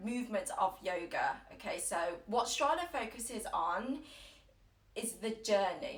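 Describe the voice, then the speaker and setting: Fairly high in pitch, a woman speaks at a fairly slow pace with lively intonation. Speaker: yoga teacher. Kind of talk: guided yoga class. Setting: at home, Instagram live stream. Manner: loud, projected.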